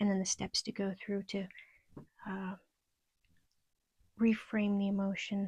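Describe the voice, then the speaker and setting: The voice is quiet and moves at a fairly slow pace. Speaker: self-help video creator. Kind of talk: casual tutorial monologue. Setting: at home at night. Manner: quiet, subdued; hesitant, with fillers.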